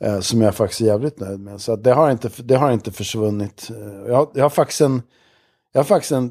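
At a medium pitch with ordinary variation, a man speaks in a dark, mellow tone, recorded very cleanly with a silent background and a dry, close sound with no echo. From Stockholm, Sweden. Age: 60s. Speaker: music producer and musician. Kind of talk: casual chat. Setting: studio.

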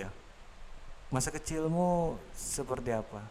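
Recorded with audible room echo, a man talks at a medium pitch with ordinary pitch variation. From Samarinda, East Kalimantan, Indonesia. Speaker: podcast host. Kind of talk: casual chat.

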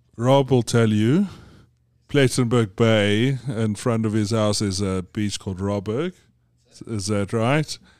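Here a man with a South African accent speaks at a very slow pace and a medium pitch. His pitch varies in an ordinary way, and the recording is very clean with a silent background. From South Africa (Johannesburg). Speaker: business executive. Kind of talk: casual interview. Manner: halting, many repetitions.

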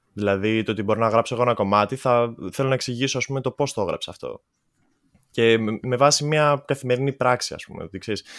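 Speaking at a fairly quick pace, a man uses a plain, everyday voice with medium pitch and fairly even intonation. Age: 20s. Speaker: musician. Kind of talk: casual chat. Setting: video call.

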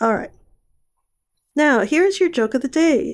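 A woman's voice with very wide pitch swings. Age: 60s. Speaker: podcast host. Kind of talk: solo podcast monologue. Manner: casual.

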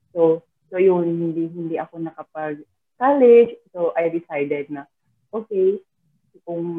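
The speaker is a woman with a fairly low pitch. She holds a moderate pace and fairly even intonation. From Philippines, Mindanao (Butuan, Visayan speaker). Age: 30s. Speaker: overseas worker, nanny and financial coach. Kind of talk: casual interview. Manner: halting, frequent laughter.

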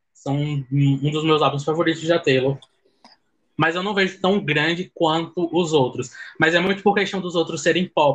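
With fairly even intonation, a man uses a normal speaking voice at a fairly high pitch. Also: moderate pace. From Pernambuco, Brazil (sertão). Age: 20s. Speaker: law student, fan club admin. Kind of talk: casual chat.

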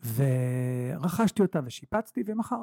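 The speech has lively intonation and a somewhat breathy quality, recorded with a dry, close sound and no echo. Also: man. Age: 40s. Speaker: real estate investor and mentor. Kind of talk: casual interview. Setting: office. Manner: animated.

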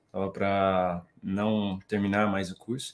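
A man with a fairly low pitch speaks in an ordinary speaking voice. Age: 20s. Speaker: financial market professional, math graduate. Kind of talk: casual interview on a live stream. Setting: online live stream.

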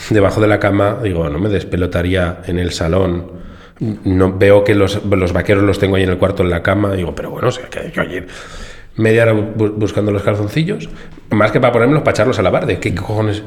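Over noticeable background noise and audible room echo, a man with a fairly low pitch speaks at a fairly quick pace with ordinary pitch variation. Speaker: podcast co-host. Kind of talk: casual chat. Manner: animated.

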